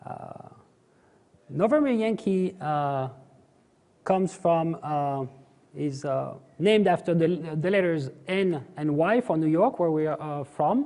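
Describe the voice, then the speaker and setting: A man with a high, dark and mellow voice speaks at a fairly slow pace with ordinary pitch variation and long, frequent pauses. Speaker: aerial filming company co-founder. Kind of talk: conference talk. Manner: halting, many fillers.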